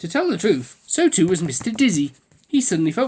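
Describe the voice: Reading aloud, plain and simple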